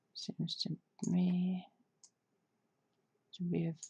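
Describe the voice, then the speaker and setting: A woman's soft-spoken whisper, somewhat breathy and relaxed in tone, at a very slow pace. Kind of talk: ASMR soft-spoken design walkthrough. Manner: soft-spoken, whispered; sleepy, relaxed.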